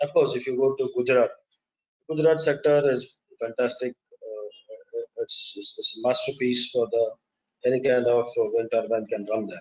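An Indian accent at a moderate pace, with long, frequent pauses. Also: man. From India, Chennai. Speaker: wind turbine engineer and webinar speaker; webinar speaker. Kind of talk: webinar presentation. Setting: online webinar with slides. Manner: halting, hesitant with fillers. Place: home room. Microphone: webcam.

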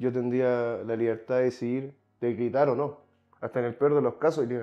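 Against a quiet background, a man speaks at a moderate pace in a monotone, flat delivery. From Chile. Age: 20s. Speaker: psychology graduate; podcast guest. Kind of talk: casual chat. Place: home room. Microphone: lapel.

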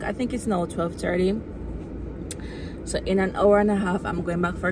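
A woman speaks with fairly even intonation. The sound is dry with no echo, over noticeable background noise. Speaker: vlogger. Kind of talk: casual vlog chat. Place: car. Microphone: phone near.

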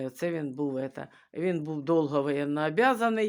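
The speaker is a woman. Her pitch is very deep and low. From Ukraine. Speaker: vlogger. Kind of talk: casual storytelling. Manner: halting.

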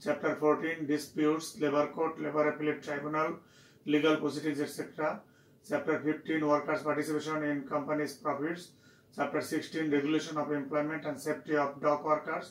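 A man talks in a flat, monotone way at a moderate pace. The room adds audible echo. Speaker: university lecturer. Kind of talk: lecture. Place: office.

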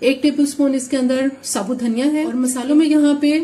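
Audible room echo surrounds a woman with a high pitch and a dark, mellow tone. Her pace is moderate and her intonation fairly even.

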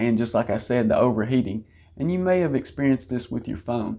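A man speaks in a dark, mellow tone. His pitch varies in an ordinary way. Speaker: auto channel host. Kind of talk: product explainer.

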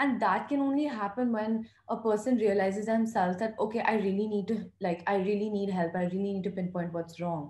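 Amid audible room echo, a soft-spoken woman with a dark, mellow tone talks somewhat breathily at a fairly high pitch and moderate pace, with ordinary pitch variation. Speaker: mental health foundation founder, psychology student; podcast guest. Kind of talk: podcast interview answer. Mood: earnest, reflective. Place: home room. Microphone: video call.

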